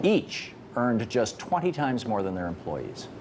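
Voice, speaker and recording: A man talks at a moderate pace. Light background noise is present. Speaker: TV news host. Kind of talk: commentary. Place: studio. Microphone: lapel.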